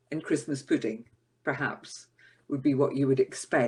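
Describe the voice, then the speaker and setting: A woman with a Scottish accent and ordinary pitch variation, on a very clean recording with a silent background. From Scotland. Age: 60s. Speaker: podcast co-host. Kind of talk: casual chat. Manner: halting.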